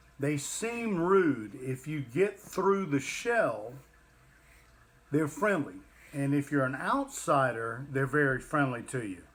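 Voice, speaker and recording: In a Southern US accent, a man with a fairly high pitch speaks at a very slow pace with very wide pitch swings. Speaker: livestream co-host, parent. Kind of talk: casual chat.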